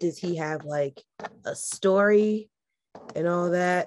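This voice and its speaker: With a plain, everyday voice, a woman speaks at a fairly low pitch and with fairly even intonation. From New York. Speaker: podcast co-host. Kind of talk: casual chat, joking banter.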